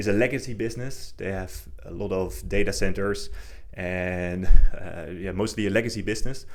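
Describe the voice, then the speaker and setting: A man talks at a fairly quick pace with fairly even intonation, and audible room echo surrounds him. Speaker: investing livestream host. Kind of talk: livestream market commentary. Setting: livestream. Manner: fast; halting, many repetitions.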